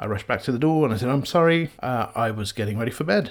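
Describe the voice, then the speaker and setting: On a very clean recording with a silent background, a man speaks in an English accent. His intonation is lively. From England. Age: 30s. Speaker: podcast host. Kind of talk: personal storytelling.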